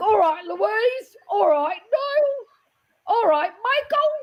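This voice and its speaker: In a put-on character voice with a London accent, the speaker talks at a very slow pace with an extremely high pitch and very wide pitch swings. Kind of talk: casual greeting.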